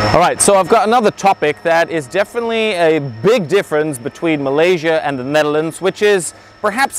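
A high-pitched man talks at a fairly quick pace with lively intonation. His voice sounds dry, with no echo. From Netherlands. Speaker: travel vlogger. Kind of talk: casual talk to camera. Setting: outdoors. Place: garden.

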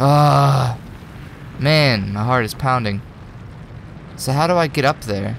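This man talks at a medium pitch with ordinary pitch variation, leaving long, frequent pauses over noticeable background noise. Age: 20s. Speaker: gaming video creator. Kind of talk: let's play gameplay commentary. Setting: home recording with microphone. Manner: animated.

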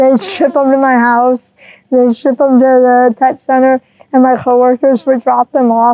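With an American accent, the speaker keeps a monotone, flat intonation, very even loudness and a moderate pace, in a dry sound with no echo. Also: woman, high pitch for a woman. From Michigan, US. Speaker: mechanical engineer; interview guest. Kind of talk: interview. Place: hall. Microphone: lapel.

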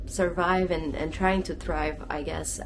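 A woman talks fairly slowly, with noticeable noise in the background. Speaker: travel vlogger. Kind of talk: casual vlog chat. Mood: earnest, a little somber. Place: home room. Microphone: phone near.

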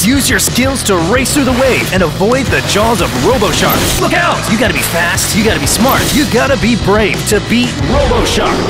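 Loud music plays in the background while a man talks with hardly any pauses. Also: moderate pace. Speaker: voice actor. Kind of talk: TV commercial read. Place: booth. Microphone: studio mic.

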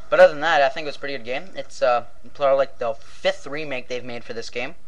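A man speaks at a fairly high pitch. His pace is very fast. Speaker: video game vlogger. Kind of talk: profane angry rant recounting a game death. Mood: joking, profane, animated. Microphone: webcam.

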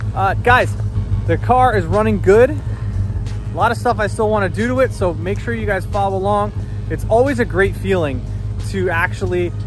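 A man talks at a moderate pace. The sound is dry with no echo, and music is clearly heard in the background. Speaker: car restoration vlogger. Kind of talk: casual vlog chat. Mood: pleased, upbeat. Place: street. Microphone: phone near.

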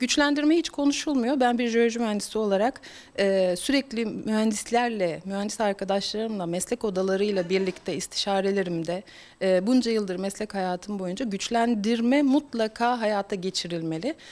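An unremarkable speaking voice from a woman, fairly high in pitch, at a moderate pace with ordinary pitch variation. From Turkey, Bursa province (Gemlik). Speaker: politician and geological engineer. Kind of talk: interview statement.

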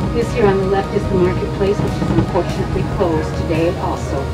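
Loud music plays in the background. Over it, a woman talks at a moderate pace. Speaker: local tour guide. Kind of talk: tour guide commentary. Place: bus.

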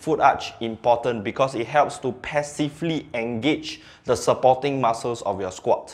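Hardly pausing, a man talks at a moderate pace. His pitch shows ordinary variation. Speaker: strength coach. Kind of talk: tutorial. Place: gym.

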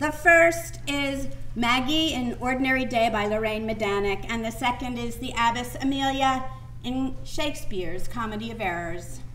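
A raised, projected voice at a moderate pace over light background noise. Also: woman. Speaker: actor auditioning. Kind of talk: dramatic monologue performance. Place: stage. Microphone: camera far.

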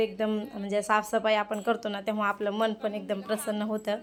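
There is noticeable background noise in this clip. Through it, a woman talks at a medium pitch. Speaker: home vlogger. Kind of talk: casual vlog narration.

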